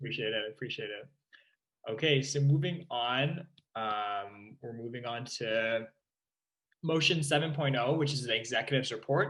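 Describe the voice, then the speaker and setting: Here is an unremarkable speaking voice from a man at a medium pitch. He speaks at a moderate pace with ordinary pitch variation. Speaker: meeting chair. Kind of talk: council meeting chairing. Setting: video call.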